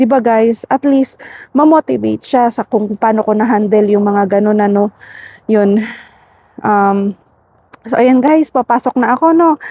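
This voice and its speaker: Speaking at a fairly slow pace, a woman with a dark, mellow tone and fairly high pitch shows ordinary pitch variation and very even loudness in a dry, close sound with no echo. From Philippines. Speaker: vlogger, overseas worker. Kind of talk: casual vlog talk. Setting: outdoors, walking. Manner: soft-spoken.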